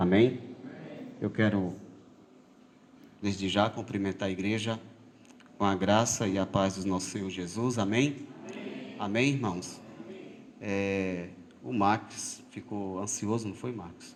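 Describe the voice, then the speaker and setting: This man has a fairly low pitch and leaves long, frequent pauses. The room echo is audible. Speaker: lay preacher. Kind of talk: sermon. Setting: church. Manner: halting.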